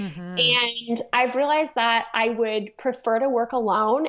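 Over a quiet background, a woman with a Canadian accent and an ordinary speaking voice talks at a fairly high pitch and a moderate pace, with ordinary pitch variation. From Toronto, Canada. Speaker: yoga and strength teacher. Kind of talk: interview.

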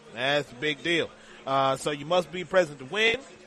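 Speaking at a moderate pace with lively intonation, a man is heard over noticeable background noise. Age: 40s. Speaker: sports betting radio host. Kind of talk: live radio show. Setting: live broadcast from a casino sportsbook.

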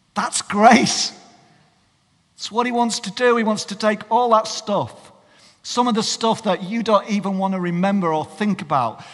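Speaking at a moderate pace with a Cumbrian accent, a man uses a high pitch with ordinary variation. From northern England. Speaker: pastor. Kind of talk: sermon.

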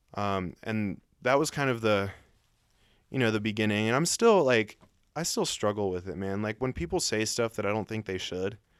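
An unremarkable speaking voice from a man with an American accent, fairly low pitch, ordinary pitch variation, and moderate pace, in a very clean recording with a silent background. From US South, north Atlanta suburbs. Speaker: writer on race. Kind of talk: casual interview chat.

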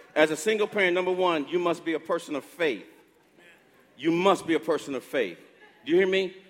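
A man's high-pitched, fairly quick voice with ordinary pitch variation and long, frequent pauses. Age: 60s. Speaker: pastor. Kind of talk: sermon.

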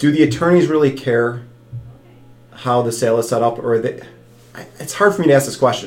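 Music in the background behind a man at a medium pitch, fairly quick in pace with long, frequent pauses and ordinary pitch variation. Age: 30s. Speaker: financial advisor podcast host. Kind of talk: casual chat.

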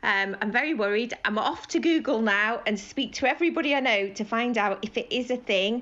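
A woman talks at a fairly quick pace with hardly any pauses and ordinary pitch variation. Noticeable background noise runs underneath. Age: 50s. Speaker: caller, nurse. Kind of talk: voicemail call-in. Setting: phone message.

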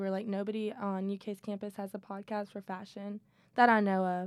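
Her intonation is monotone and flat. The woman keeps a medium pitch at a moderate pace. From Louisville, Kentucky. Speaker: college student, fashion editor. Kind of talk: casual chat.

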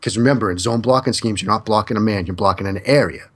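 With an American accent, a man speaks in an unremarkable speaking voice at medium pitch and ordinary pitch variation, against a quiet background. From US Northeast. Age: 30s. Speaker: football analyst. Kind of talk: casual chat.

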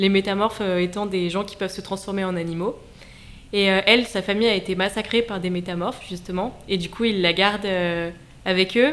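With a plain, everyday voice, a woman talks at a moderate pace and medium pitch, her intonation fairly even. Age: 20s. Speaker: debut novelist. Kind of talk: radio interview. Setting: radio studio.

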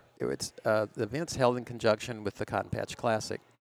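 An American-accented man's voice with vocal fry, a medium pitch and ordinary pitch variation, at a moderate pace, in dry, close sound with no echo. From Minnesota. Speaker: cycling event organizer. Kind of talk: casual interview chat.

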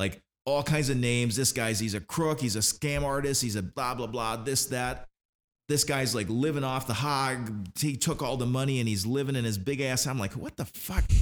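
A man with an unremarkable speaking voice talks at a moderate pace in a medium pitch. His pitch variation is ordinary, and the recording is very clean with a silent background. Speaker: podcast host. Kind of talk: casual chat, profane and joking. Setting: live recording, podcast. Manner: rambling, joking, self-deprecating.

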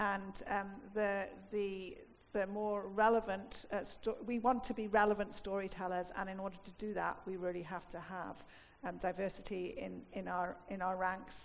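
At a moderate pace, a woman with a medium pitch speaks in a monotone, flat manner. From Wales. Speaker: film industry executive. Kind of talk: on-stage interview. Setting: stage with audience.

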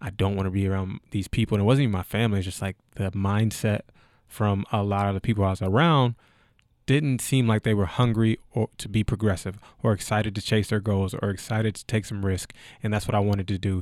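Speaking at a very fast pace with an American accent, the man has a fairly low pitch and fairly even intonation, recorded very cleanly with a silent background and a dry, close sound with no echo. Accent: Southern US, toned down when professional. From US South (Kentucky). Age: 20s. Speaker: entrepreneur and football scout. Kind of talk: casual interview.

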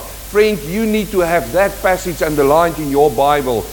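There is noticeable background noise and audible room echo as a man with a high pitch speaks with lively intonation. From South Africa. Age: 50s. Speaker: pastor. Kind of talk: sermon.

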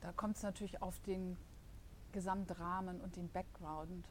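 A woman speaks with vocal fry. Room echo is audible around her voice. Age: 50s. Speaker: marketing assistant and virtual collaboration coach. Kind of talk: podcast interview. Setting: studio.

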